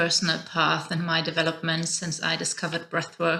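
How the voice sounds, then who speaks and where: The speaker is a woman. She talks with a German accent. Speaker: podcast host. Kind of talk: interview.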